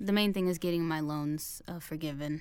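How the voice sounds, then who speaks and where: With a Midwestern American accent, a woman talks in a dark, mellow tone. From Indiana, US Midwest. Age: 20s. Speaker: student. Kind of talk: interview. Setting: studio. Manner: hesitant, many fillers.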